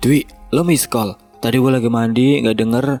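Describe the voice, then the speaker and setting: Putting on a shrill character voice at a medium pitch, a man speaks at a moderate pace with very even loudness while faint music plays in the background. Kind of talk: casual colloquial Jakarta Indonesian.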